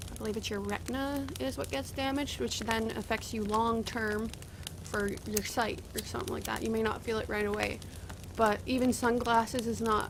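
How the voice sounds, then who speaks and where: A woman with a fairly high pitch and a slight rural Canadian accent speaks at a moderate pace with fairly even intonation. Audible room echo can be heard. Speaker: gaming video creator. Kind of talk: casual gameplay commentary. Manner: halting, many fillers.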